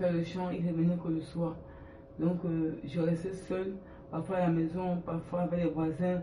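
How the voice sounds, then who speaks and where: Over noticeable background noise and audible room echo, a man with a high voice speaks fairly slowly in a monotone, flat delivery. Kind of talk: testimony. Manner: halting.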